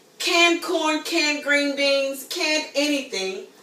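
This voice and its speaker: Amid noticeable background noise and audible room echo, a woman with a high pitch uses a raised, projected voice at a fairly slow pace. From US, Baltimore, Maryland. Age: 30s. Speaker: home cook. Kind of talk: casual demo video. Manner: animated.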